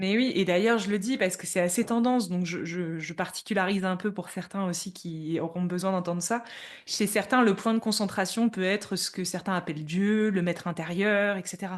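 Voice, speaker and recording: With fairly even intonation, a woman talks at a medium pitch against a quiet background. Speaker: spiritual teacher. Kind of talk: interview conversation. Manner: fast.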